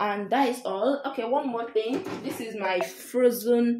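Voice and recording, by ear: A woman talks slowly at medium pitch with a slightly mellow tone. The room echo is audible.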